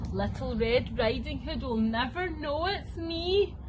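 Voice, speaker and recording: A growling put-on character voice from a woman, at a fairly slow pace amid loud background noise. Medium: read story. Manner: sly, growling.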